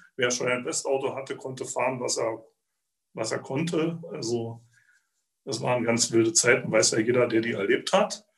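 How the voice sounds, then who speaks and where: A man speaks at a moderate pace and medium pitch, his voice somewhat breathy. He leaves long, frequent pauses and uses ordinary pitch variation. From Zittau, eastern Saxony. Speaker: museum guide and former teacher. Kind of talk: personal storytelling.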